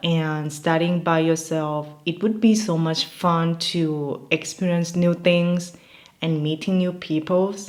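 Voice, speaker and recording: A woman talks with a fairly low pitch. Her pace is fairly slow. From Thailand. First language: Thai. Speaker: MBA graduate, lifestyle vlogger. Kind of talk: casual talk to camera.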